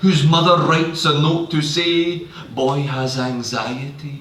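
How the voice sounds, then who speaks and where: A man talks with fairly even intonation while noticeable background noise runs underneath. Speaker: poet. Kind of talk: poetry reading.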